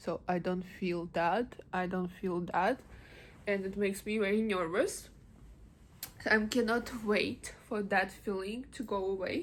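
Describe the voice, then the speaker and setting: Speaking fairly slowly in a Russian accent, a woman holds a medium pitch with fairly even intonation. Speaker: vlogger. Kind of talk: casual vlog. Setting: in bed. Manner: halting.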